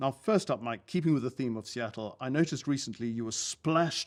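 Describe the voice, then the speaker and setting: Lively intonation marks a speaker with a British accent on a very clean recording with a silent background. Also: man. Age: 60s. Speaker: TV news reporter and podcast interviewer. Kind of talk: interview. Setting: interviewee's home city.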